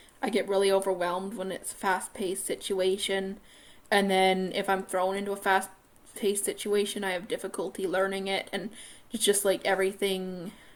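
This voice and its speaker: A woman at a medium pitch, moderate pace, and monotone, flat intonation. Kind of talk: personal video monologue.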